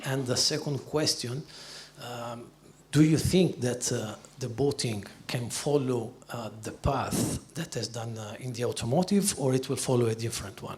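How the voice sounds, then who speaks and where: A man of medium pitch talks at a moderate pace, somewhat breathy, with ordinary pitch variation and big swings in loudness. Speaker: panel moderator. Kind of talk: panel moderation.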